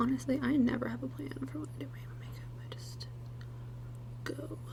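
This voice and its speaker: A soft-spoken woman at a fairly quick pace, with big swings in loudness and noticeable background noise. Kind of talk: ASMR get-ready-with-me makeup tutorial.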